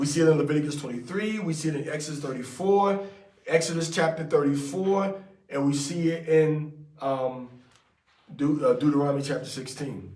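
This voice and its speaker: Room echo is audible as a man talks at a fairly quick pace. His voice is fairly high-pitched and somewhat breathy, with ordinary pitch variation. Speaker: religious teacher. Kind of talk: scripture study with commentary. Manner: fast; casual, conversational.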